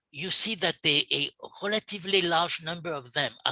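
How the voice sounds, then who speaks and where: A man's bright, sharp voice in a French accent at a moderate pace, dry and close with no echo. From France. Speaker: urban planning expert, panelist. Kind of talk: panel discussion. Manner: halting, many repetitions.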